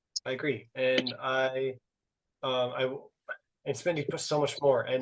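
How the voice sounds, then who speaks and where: This man speaks. His pitch is fairly high. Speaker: podcast host. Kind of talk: casual discussion. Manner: halting.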